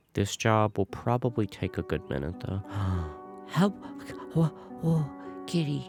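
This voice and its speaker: Relaxed, calm male voice, fairly low-pitched, at a very slow pace with long, frequent pauses, very wide pitch swings and music in the background. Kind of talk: gameplay commentary.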